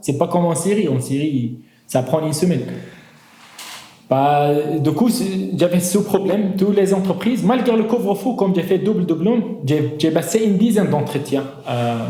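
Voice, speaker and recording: In a room with audible echo and noticeable background noise, a man speaks at a moderate pace in a high pitch with lively intonation, very even loudness and long, frequent pauses. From northern Syria. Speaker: engineer, migrant giving testimony. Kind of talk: testimony interview. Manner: halting, with false starts.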